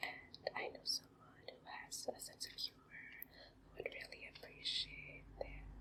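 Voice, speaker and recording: Someone whispers at a fairly slow pace. Background noise is noticeable. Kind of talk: ASMR card haul presentation to camera. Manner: soft-spoken, relaxing.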